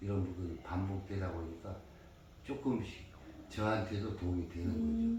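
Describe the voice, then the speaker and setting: A man's very deep, low voice with a dark, mellow tone, somewhat breathy, at a moderate pace with ordinary pitch variation and audible room echo. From Jeju, South Korea. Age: 60s. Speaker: history guide. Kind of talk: interview.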